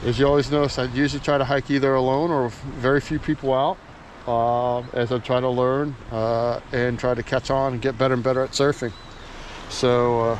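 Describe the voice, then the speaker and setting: At a moderate pace, a man speaks in a monotone, flat intonation with very even loudness, the sound dry with no echo and light background noise. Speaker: surfer vlogger. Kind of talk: casual vlog chat. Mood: relaxed, content, reflective. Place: waterside. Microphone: phone near.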